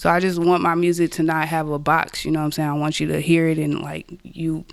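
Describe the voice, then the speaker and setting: A woman with an American accent, very deep and low in pitch, monotone and flat, at a fairly quick pace. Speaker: rapper. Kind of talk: casual interview chat.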